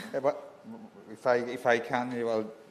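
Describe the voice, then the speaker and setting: A man with a Spanish accent at a fairly slow pace. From Spain. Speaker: science policy official. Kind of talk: panel discussion. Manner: halting.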